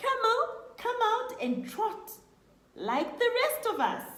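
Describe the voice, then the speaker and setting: Using a put-on character voice at an extremely high pitch, a woman talks at a fairly slow pace with a slight echo. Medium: read story.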